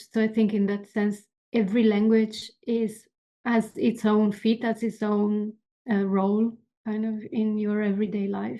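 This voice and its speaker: A woman speaks at a moderate pace with an Italian accent. Her fairly high voice stays monotone and flat. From Italy. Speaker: animator and illustrator. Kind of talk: casual chat. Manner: halting.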